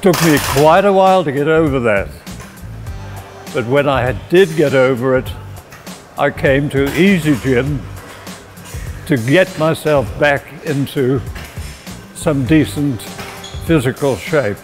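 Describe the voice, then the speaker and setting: A man speaks with long, frequent pauses. Clear music plays in the background. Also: fairly high pitch for a man, ordinary pitch variation. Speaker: gym member. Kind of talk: testimonial talk to camera. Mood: reflective, grateful. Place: gym. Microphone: lapel.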